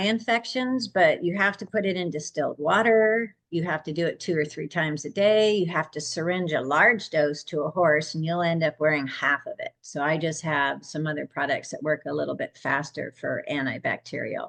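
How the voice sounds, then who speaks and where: In a normal speaking voice, the speaker keeps a moderate pace with lively intonation and hardly any pauses. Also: woman. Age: 60s. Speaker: holistic horse care practitioner. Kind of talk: casual interview.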